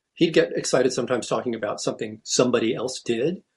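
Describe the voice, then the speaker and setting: The speaker goes at a very fast pace with ordinary pitch variation. The voice is somewhat breathy. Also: man. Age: 60s. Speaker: orchestral bassoonist. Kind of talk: interview. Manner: halting.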